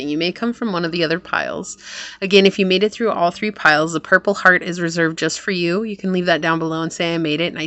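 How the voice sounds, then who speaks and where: Doing a put-on character voice, a woman rattles along at a very fast pace, raspy and fairly low in pitch, with fairly even intonation and light background noise. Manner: projecting.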